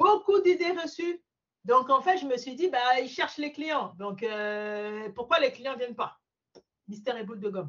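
A woman talks at a moderate pace in a high pitch, with a slight African accent. Her pitch swings very widely. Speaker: mortgage broker. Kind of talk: interview.

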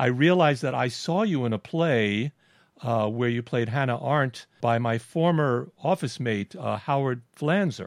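Delivered in an American accent, the speech moves at a fairly slow pace with ordinary pitch variation and very even loudness. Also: man, medium pitch for a man. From Brooklyn, New York. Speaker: podcast host. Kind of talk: interview conversation.

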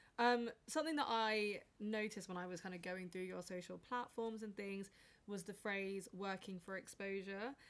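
A woman has a plain, everyday voice, speaking at a medium pitch and moderate pace with ordinary pitch variation. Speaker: podcast host. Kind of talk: casual interview chat.

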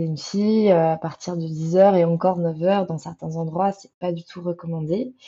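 A woman with a fairly low pitch and fairly even intonation, at a very slow pace. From France. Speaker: traveller. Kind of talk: interview. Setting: remote call.

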